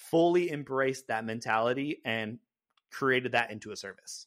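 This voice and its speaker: A man with a General American accent speaks in a normal speaking voice at a medium pitch, with ordinary pitch variation. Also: very clean recording, silent background. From California. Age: 30s. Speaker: content creator. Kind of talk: casual chat.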